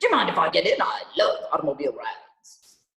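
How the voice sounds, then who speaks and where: In a put-on character voice, a man growls at an extremely high pitch and a very fast pace. A slight echo surrounds the sound. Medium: read story. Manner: brisk, commanding.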